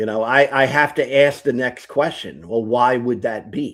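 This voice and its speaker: This man speaks with an American accent at a medium pitch. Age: 60s. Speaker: atheist youtuber. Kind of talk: debate-style conversation on a livestream. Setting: live stream. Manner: halting.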